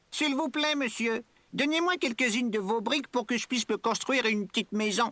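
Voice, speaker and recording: Someone in a put-on character voice speaks at a fairly high pitch and a fairly quick pace. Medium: read story. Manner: bright, cheerful.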